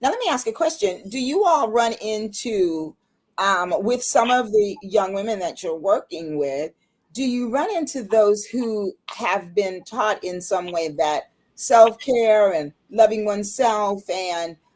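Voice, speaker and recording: Using a normal speaking voice with an American accent, a woman at medium pitch talks at a fairly slow pace with lively intonation. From US Midwest, Ohio. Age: 60s. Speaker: talk show host. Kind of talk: interview.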